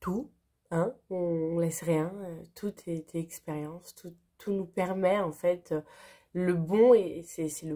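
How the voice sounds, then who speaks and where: A woman speaks very slowly in a medium pitch. Her tone is dark and mellow. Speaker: spiritual channel host. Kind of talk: spontaneous spiritual vlog monologue.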